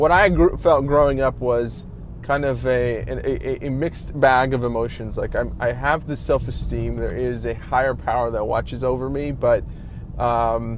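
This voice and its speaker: This man keeps a moderate pace while noticeable background noise and audible room echo surround his voice. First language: Spanish. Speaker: vlogger. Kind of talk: casual vlog monologue. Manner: halting, many fillers and restarts.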